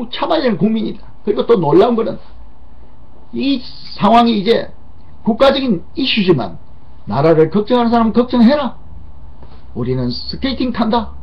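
The man's pauses are long and come often. Between them, he talks at a moderate speed. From South Korea. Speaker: political commentator. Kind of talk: political commentary monologue. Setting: studio. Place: studio. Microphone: webcam.

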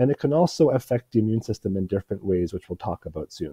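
A man talks in a dark, mellow tone that is raspy with a slightly husky edge, and his pitch swings widely. The sound is dry and close with no echo.

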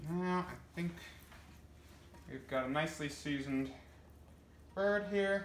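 A man's fairly high voice at a slow pace, with ordinary pitch variation and audible room echo.

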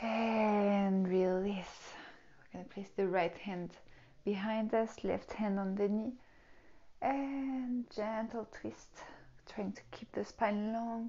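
A woman at a very slow pace, with fairly even intonation and long, frequent pauses. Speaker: yoga teacher. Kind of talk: tutorial. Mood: calm, soothing guidance. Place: home room. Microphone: lapel.

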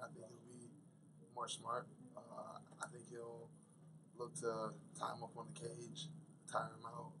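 Over noticeable background noise, a man with vocal fry speaks at a moderate pace. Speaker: MMA fighter. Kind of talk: interview. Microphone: podium.

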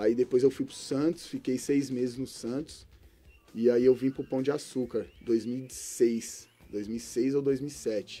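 With faint music behind him, a man speaks very slowly with fairly even intonation. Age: 30s. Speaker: former professional footballer; guest. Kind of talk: interview. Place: studio. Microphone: studio mic.

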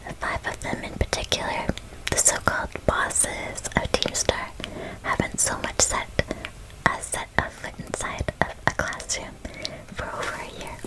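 A soft-spoken woman whispers at a moderate pace. Long pauses come often. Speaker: gamer streamer. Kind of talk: casual gameplay commentary. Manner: soft ASMR whisper, reading aloud. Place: home room.

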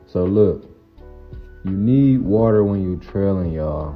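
With music in the background, a man talks very slowly in a very deep, low voice. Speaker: trucker vlogger. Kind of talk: casual vlog chat. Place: open country. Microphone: phone near.

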